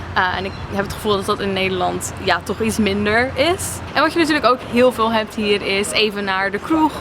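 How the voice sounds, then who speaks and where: A woman with a medium pitch speaks at a moderate pace with hardly any pauses and ordinary pitch variation. Noticeable background noise sits behind her. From Netherlands. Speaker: vlogger. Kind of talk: casual Q&A vlog. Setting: outdoors by a harbour.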